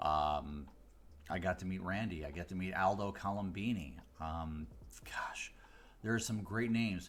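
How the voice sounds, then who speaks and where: A man with an American accent speaks in a very deep, low pitch with ordinary pitch variation. His long, frequent pauses ring with audible room echo. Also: moderate pace. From US Midwest, Chicago area. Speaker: mentalist. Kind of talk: casual livestream talk.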